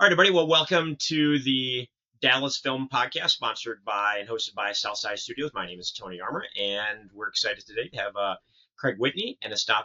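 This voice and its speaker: An ordinary speaking voice from a man with an American accent, medium in pitch, at a fairly quick pace, with lively intonation and big swings in loudness. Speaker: podcast host. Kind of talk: casual interview.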